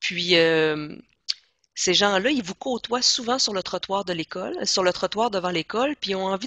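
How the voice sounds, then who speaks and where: A woman talks at a moderate pace and a medium pitch. She has an ordinary speaking voice. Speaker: education trainer. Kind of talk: training presentation.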